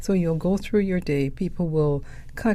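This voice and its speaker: In a Caribbean accent, a woman speaks at a moderate pace with fairly even intonation. Her fairly low voice has a dark, mellow tone, and room echo is audible. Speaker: podcast host, poet. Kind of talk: reflective podcast monologue.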